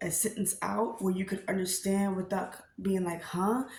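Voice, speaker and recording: A woman talks at a medium pitch, with noticeable background noise in the recording. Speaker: vlogger and storyteller. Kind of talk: casual vlog talk. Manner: halting, stumbling over words.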